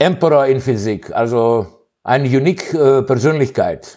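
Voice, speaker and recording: Heard in a very clean recording with a silent background, a man with a non-native accent speaks at a medium pitch. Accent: non-native German speaker. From Greece. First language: Greek (speaking German). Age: 60s. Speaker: physicist. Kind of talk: interview. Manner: halting, many fillers.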